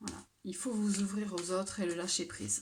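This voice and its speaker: Soft-spoken and somewhat breathy, a woman of medium pitch speaks at a fairly slow pace in a monotone, flat intonation. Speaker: tarot card reader. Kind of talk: tarot reading. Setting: at home late at night. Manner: hesitant.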